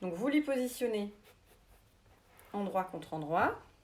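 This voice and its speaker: A woman's fairly high voice, fairly slow in pace, with lively intonation. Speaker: sewing teacher. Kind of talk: tutorial. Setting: livestream. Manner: halting, many hesitations.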